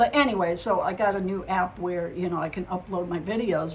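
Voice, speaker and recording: A woman's voice comes across as somewhat breathy. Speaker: psychic medium vlogger. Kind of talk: casual vlog monologue. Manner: halting, stumbles over words.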